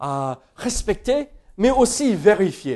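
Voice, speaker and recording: A man with an American accent talks at a high pitch. His voice makes very wide pitch swings. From United States. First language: English (speaking French). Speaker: pastor. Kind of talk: sermon. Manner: hesitant, many fillers.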